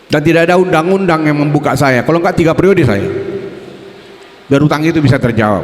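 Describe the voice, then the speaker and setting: An animated man with a fairly high pitch, a very fast pace, very even loudness, long frequent pauses and noticeable background noise. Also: ordinary pitch variation. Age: 70s. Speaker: politician. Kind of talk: campaign speech.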